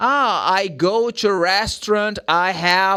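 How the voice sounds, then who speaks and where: Projecting a raised voice, a man with a high pitch and a bright, sharp tone comes through on a very clean recording with a silent background. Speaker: English teacher. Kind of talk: casual chat. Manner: animated.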